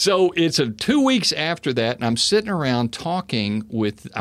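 A man speaks with an American accent. His pitch swings very wide. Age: 60s. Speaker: housing business owner and former pastor. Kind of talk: casual interview. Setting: studio.

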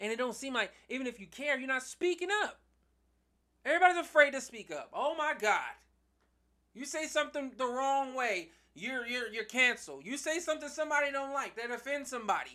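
A man speaks fairly quickly in a raised, projected voice, extremely high for him, with ordinary pitch variation. His tone is bright, sharp and animated. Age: 30s. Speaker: podcast host. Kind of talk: solo commentary monologue. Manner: halting, many fillers and repetitions.

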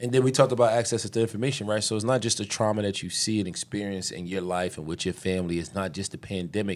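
A man with an American accent and a fairly low pitch talks at a very fast pace. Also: ordinary pitch variation, very clean recording, silent background. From Philadelphia, Pennsylvania. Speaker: city councilmember. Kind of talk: casual interview conversation.

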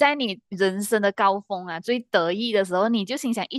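A woman speaks in a normal speaking voice at a medium pitch and moderate pace, with ordinary pitch variation and a dry, close sound with no echo. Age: 20s. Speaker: podcast co-host. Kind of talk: casual chat.

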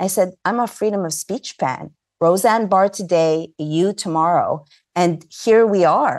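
A woman with a plain, everyday voice speaks at medium pitch and a fairly slow pace, using ordinary pitch variation against a quiet background. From Montreal, Canada. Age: 50s. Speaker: investigative journalist and filmmaker. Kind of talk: interview.

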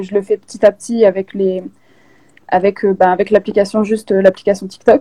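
Her dark, mellow tone comes through a dry, close recording with no echo as this woman speaks at a moderate pace. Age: 20s. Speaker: makeup content creator. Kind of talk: live interview. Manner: halting.

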